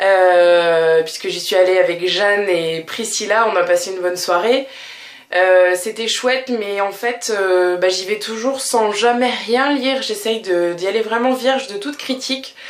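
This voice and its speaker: Her pitch sits at a medium level with ordinary variation. This woman speaks at a fairly slow pace. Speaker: vlogger. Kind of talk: casual vlog monologue. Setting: home bathroom. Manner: hesitant, many fillers.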